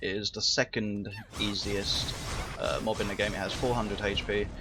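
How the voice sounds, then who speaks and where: Noticeable background noise is present. A man's pace is moderate. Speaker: gaming YouTuber. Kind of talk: gameplay commentary.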